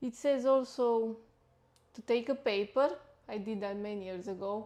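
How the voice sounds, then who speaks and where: A woman with a non-native accent speaks at a moderate pace, her pitch high with ordinary variation. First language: not English. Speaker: livestreamer and nutritionist. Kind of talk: casual livestream talk. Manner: halting.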